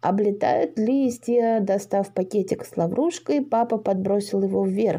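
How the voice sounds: A natural reading voice is what the clip offers.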